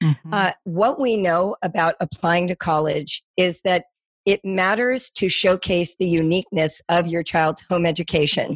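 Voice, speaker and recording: A woman's fairly low voice, a normal speaking voice, with an American accent, ordinary pitch variation, very even loudness and a moderate pace, in a dry, close sound with no echo. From US West Coast, Los Angeles. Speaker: homeschooling educator. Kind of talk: interview.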